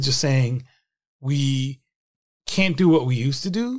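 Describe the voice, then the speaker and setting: A man speaks at a fairly high pitch for a man, with ordinary pitch variation. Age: 50s. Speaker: religion news reporter and author. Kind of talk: interview conversation. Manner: animated.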